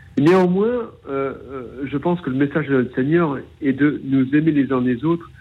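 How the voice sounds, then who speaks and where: The delivery is at a moderate pace with ordinary pitch variation. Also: man. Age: 40s. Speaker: caller. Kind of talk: testimony. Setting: phone call. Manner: halting, repeating words.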